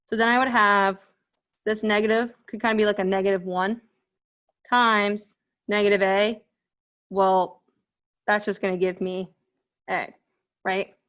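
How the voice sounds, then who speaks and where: A woman mumbles at a moderate pace in a monotone, flat intonation, with long, frequent pauses over a quiet background. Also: medium pitch for a woman. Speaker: math instructor. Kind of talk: lecture. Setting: virtual classroom. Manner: mumbling.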